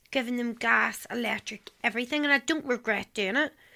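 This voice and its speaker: Over a very clean, silent background, a woman with a Northern Irish accent speaks in a fairly high pitch with a bright, sharp tone and ordinary pitch variation. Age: 30s. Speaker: trafficking survivor. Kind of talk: testimony. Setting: radio studio.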